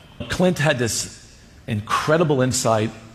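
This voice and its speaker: Noticeable background noise fills the recording. Over it, a man speaks with lively intonation. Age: 70s. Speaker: cardiologist. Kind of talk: interview talk.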